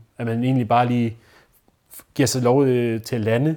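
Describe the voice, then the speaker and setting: A man speaks in a dark, mellow tone with monotone, flat intonation. The recording is very clean with a silent background. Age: 20s. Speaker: newly graduated social educator. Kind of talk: interview testimony. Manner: halting.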